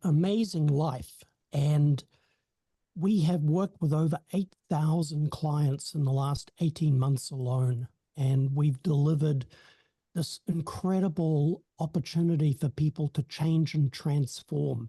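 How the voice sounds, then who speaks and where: A man's fairly high, somewhat breathy voice with a dark, mellow tone, fairly even intonation, very even loudness and a fairly slow pace, in a dry, close sound with no echo. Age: 60s. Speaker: hypnotherapy company co-founder. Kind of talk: networking self-introduction. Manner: halting, many fillers.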